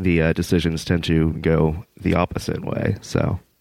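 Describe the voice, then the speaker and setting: A man with an American accent talks rather slowly. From US Northeast (Massachusetts). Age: 20s. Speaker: dispute litigant. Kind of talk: casual chat. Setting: video call. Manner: rambling, hesitant with many fillers.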